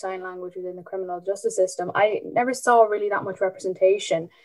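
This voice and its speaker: A woman speaks at a medium pitch with flat, monotone intonation. Music plays in the background. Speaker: podcast host. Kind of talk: podcast interview, formal.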